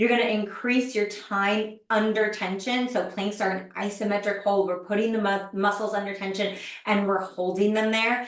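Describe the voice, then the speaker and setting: A woman's medium-pitched, monotone, flat voice at a moderate pace with hardly any pauses, amid audible room echo and noticeable background noise. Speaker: fitness trainer. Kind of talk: online masterclass presentation.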